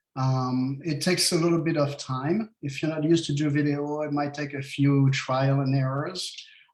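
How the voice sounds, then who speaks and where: With a French accent, a man talks at a fairly high pitch and fairly even intonation, hardly pausing, amid audible room echo. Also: moderate pace. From France. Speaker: real estate agent. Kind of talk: casual interview. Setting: live stream video call.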